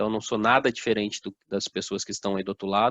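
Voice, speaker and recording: A man with a strong São Paulo interior accent, talking at a fairly quick pace. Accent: strong interior São Paulo accent, strong R. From interior of São Paulo state, Brazil (Assis). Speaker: motivational speaker. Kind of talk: motivational talk. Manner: informal, uses many fillers.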